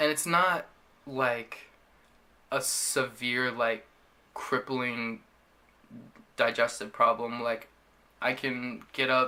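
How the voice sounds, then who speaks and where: At a medium pitch, a man speaks in a bright, sharp tone. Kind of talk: casual talk to camera. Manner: stuttering, frequent filler words.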